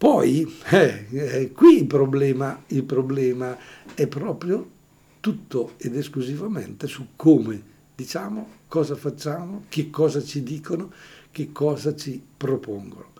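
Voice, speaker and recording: A man speaks at a very slow pace with a fairly high pitch and ordinary pitch variation. His tone is dark, mellow and somewhat breathy. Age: 70s. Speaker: priest and radio host. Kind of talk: radio call-in show.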